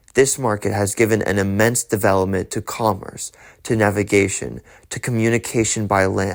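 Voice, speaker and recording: A man with an unremarkable speaking voice talks at a moderate pace with fairly even intonation. The recording is very clean, with a silent background. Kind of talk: ASMR audiobook reading of a political text. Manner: soft, calm, ASMR-style delivery.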